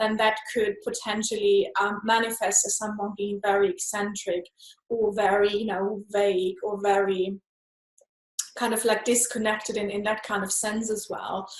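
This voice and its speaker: Using a non-native accent, a woman talks at a moderate pace, her fairly high pitch held in a monotone, flat intonation. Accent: noticeable foreign. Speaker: energy healer, meridian body worker. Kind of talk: interview answer.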